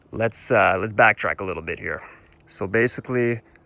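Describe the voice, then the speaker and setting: A man with a Canadian accent speaks at a medium pitch in a bright, sharp tone. His pitch varies in an ordinary way. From Ontario, Canada. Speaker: motorcycle vlogger. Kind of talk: casual walk-through vlog. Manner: casual.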